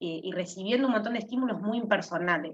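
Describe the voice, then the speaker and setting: A woman speaks with an ordinary speaking voice at medium pitch. Her pitch varies in an ordinary way. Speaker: university student. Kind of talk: class discussion.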